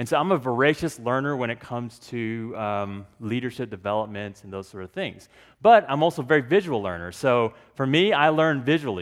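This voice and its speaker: A man with a normal speaking voice talks at a fairly quick pace and medium pitch, using lively intonation. His loudness swings widely, against a quiet background. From Texas, Dallas; Korean immigrant parents. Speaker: pastor, conference speaker. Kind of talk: conference talk. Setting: stage with audience.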